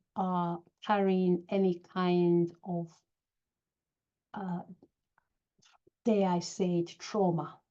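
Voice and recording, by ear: A woman speaks with a fairly low pitch and a dark, mellow tone.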